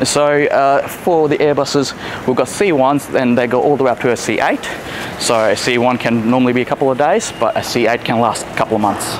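Over noticeable background noise, a man speaks at a fairly quick pace. His pitch varies in an ordinary way. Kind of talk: interview answer. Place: factory.

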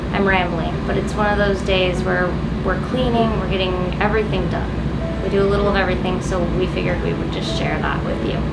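A woman talks at a very fast pace. Loud noise fills the background. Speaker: vlogger living aboard a boat. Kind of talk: casual vlog chat. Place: boat. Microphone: camera far.

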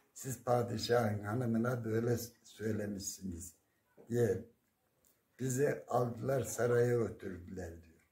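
A man speaks very slowly in a dark, mellow, somewhat breathy tone, with fairly even intonation and big swings in loudness. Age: 70s. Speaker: retired primary school teacher. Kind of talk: interview; folk tale storytelling. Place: home room. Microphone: phone near.

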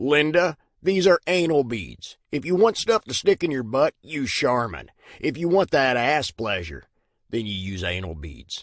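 A man's medium-pitched voice with very wide pitch swings, against a quiet background. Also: moderate pace. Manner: snarky, mocking.

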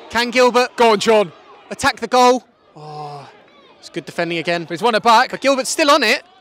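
Through noticeable background noise, a man with a high pitch talks at a fairly quick pace, with very wide pitch swings and big swings in loudness. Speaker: football commentator. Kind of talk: live commentary. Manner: excitable, rapid-fire, rising pitch at goals.

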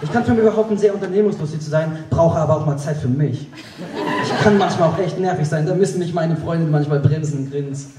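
A man speaks at a very fast pace, his pitch fairly high and its variation ordinary. Noticeable background noise runs under his voice. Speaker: poetry slam performer. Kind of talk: poetry slam performance. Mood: dry ironic humour. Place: stage.

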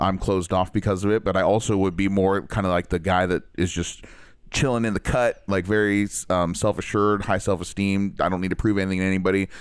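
Over a silent background in a very clean recording, a man with an American accent talks at a very fast pace in a fairly low pitch, with very even loudness and monotone, flat intonation. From US Midwest. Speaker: podcast co-host. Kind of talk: casual chat.

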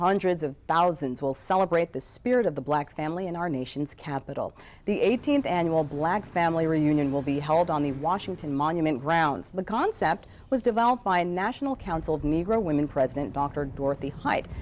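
A fairly low-pitched woman's voice at a fairly quick pace with hardly any pauses, over light background noise. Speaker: news reporter. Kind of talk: radio news read.

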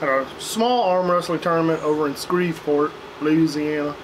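Noticeable background noise runs through the clip. Over it, a man talks at a fairly slow pace. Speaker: beer review vlogger. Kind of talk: casual vlog chat. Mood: relaxed, chatty. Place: garden.

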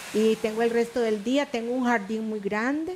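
With a Costa Rican accent, a woman talks at a moderate pace and fairly high pitch, with ordinary pitch variation. There is light background noise. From Costa Rica, Puntarenas. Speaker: retired schoolteacher. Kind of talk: interview. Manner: distinctive conversational rhythm. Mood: warm, nostalgic storytelling. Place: studio. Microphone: headset.

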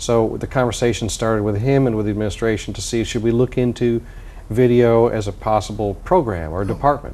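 A man speaks in an unremarkable speaking voice at a medium pitch with ordinary pitch variation. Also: fairly quick pace. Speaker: music professor and composer. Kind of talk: interview. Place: studio.

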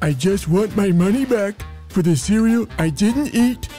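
A man uses a put-on character voice, high in pitch, at a moderate pace. Clear music plays in the background. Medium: audio drama.

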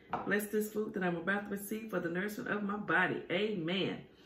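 There is audible room echo. A woman's voice carries through it. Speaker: food vlogger. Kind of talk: casual vlog chat. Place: home room. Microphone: phone near.

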